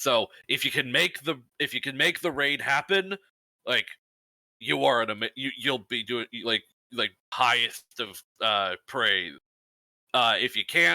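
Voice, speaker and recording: On a very clean recording with a silent background, a man uses a put-on character voice at medium pitch, keeping a moderate pace with long, frequent pauses. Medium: actual play. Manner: blunt, commanding.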